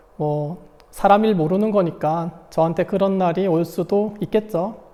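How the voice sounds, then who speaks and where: This man's voice sits high in pitch for a man, with a dark, mellow tone. He talks at a very slow pace. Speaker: high school math teacher. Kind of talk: online lecture.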